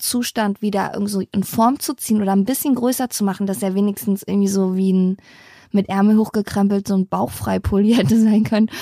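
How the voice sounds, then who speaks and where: This woman talks at a fairly quick pace with a medium pitch, a dark, mellow tone and ordinary pitch variation, recorded very cleanly with a dry, close sound, no echo and a silent background. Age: 30s. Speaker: podcast co-host. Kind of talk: casual chat. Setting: home attic.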